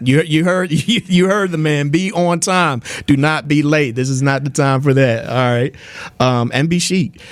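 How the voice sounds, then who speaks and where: A man with a normal speaking voice, fairly high pitch, moderate pace, ordinary pitch variation and very even loudness. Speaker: radio host. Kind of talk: radio interview host. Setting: studio.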